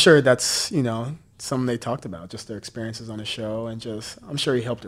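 A man's pitch varies in an ordinary way on a very clean recording with a silent background. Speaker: former reality TV contestant. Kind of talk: casual chat.

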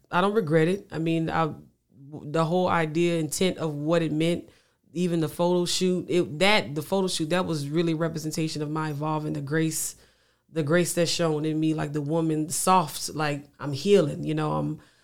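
A man with a Louisiana accent, fairly high-pitched, at a moderate pace, in a monotone, flat intonation, on a very clean recording with a silent background. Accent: Louisiana Southern US, noticeable. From Louisiana, US; Lafayette, Louisiana. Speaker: singer-songwriter. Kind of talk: casual interview chat. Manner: repetitive, stammering phrases, laid-back.

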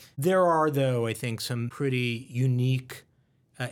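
On a very clean recording with a silent background, a man with an American accent and a plain, everyday voice speaks at medium pitch with ordinary pitch variation. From United States. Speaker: hospital system executive. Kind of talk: interview. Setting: office.

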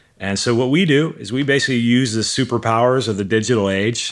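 In a plain, everyday voice, a man with an American accent talks at a moderate pace and a medium pitch with ordinary pitch variation. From US Midwest, Milwaukee. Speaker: digital marketing entrepreneur, author. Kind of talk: casual interview chat.

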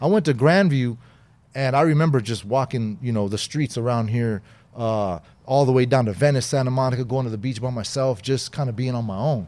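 A man's medium-pitched voice with an American accent, a dark, mellow tone, ordinary pitch variation, and a fairly quick pace. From Southern California, Inglewood. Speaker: former gang member. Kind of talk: interview.

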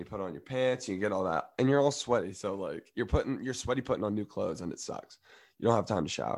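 Talking at a very fast pace, a man with a medium pitch and an American accent shows vocal fry and ordinary pitch variation. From US South. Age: 20s. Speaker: college student athlete. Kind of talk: casual chat.

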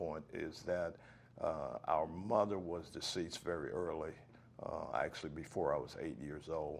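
Speaking at a fairly slow pace with an American accent, a man uses a very deep, low pitch. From US South, Florida (Martin County). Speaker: oral history interviewee. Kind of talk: oral history interview.

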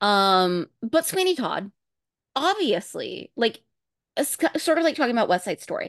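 The voice moves at a moderate pace with very wide pitch swings and long, frequent pauses. The sound is dry and close with no echo, over a quiet background. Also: woman, high pitch for a woman. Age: 30s.

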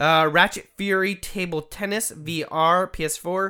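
At a very slow pace, the voice is raised and projected, with a bright, sharp tone. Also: man. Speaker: podcast host. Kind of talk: casual chat.

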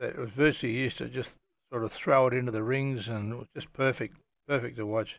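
A man with an Australian accent holds a medium pitch in a monotone, flat intonation. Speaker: storyteller recounting his life story. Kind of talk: personal memoir monologue. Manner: halting, many fillers.

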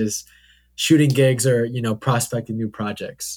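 A man with an American accent, medium pitch and monotone, flat intonation, in a very clean recording with a silent background. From Oregon, US (Hillsboro). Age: young. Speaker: student and videographer. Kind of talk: casual interview chat. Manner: hesitant, many fillers.

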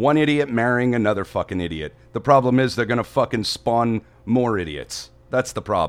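A man talks in a plain, everyday voice at a medium pitch. His pitch variation is ordinary and his pace is moderate. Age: 40s. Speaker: podcast co-host and actor. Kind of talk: casual chat. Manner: irritated, crude.

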